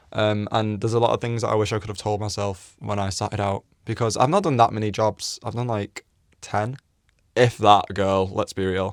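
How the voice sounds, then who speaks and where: With an English accent, a man speaks fairly quickly in a fairly low, monotone, flat voice, in a dry, close sound with no echo and a very clean recording with a silent background. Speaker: vlogger, former model. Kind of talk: casual chat, story time.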